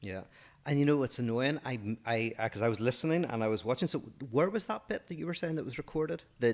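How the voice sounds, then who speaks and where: A man with an Irish accent speaks at a very fast pace with lively intonation. The recording is very clean, with a silent background. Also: medium pitch for a man. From Ireland. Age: 40s. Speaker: philosopher, podcast co-host. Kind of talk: casual chat.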